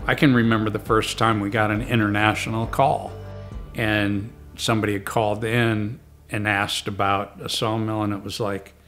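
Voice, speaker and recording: A man's fairly low voice, monotone and flat, at a moderate pace, with faint music in the background. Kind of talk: interview answer. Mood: fond, amused reminiscing. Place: home room.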